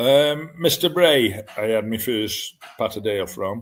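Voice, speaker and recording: The pace is very slow. A man delivers it at a medium pitch. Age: 70s. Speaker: dog breeder. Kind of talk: interview.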